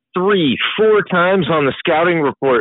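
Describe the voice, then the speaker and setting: Here is a man with a plain, everyday voice. His intonation is lively. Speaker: college basketball podcast co-host.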